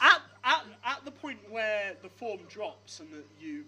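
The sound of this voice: An unforced reading voice carries the whole clip.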